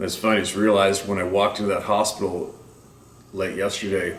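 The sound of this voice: Audible room echo surrounds a man with a low pitch and a fairly bright tone. He talks at a fairly quick pace.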